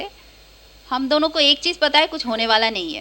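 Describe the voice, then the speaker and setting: Her pitch sits high for a woman. This woman's voice rises and falls in an ordinary way. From Kolkata, India. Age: 30s. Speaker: stand-up comedian. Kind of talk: stand-up. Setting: stage with audience.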